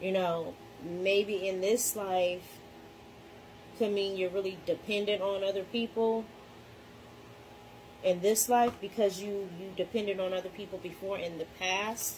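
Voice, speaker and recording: Over noticeable background noise, the speaker talks at a fairly slow pace in a monotone, flat intonation. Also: woman. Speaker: tarot reader. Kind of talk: tarot reading. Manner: casual, filler-heavy.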